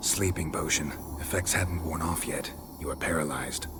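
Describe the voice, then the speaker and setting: Loud background noise runs under a man doing a put-on character voice. He uses a very deep, low pitch at a moderate pace. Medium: machinima. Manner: terse, dry, clipped.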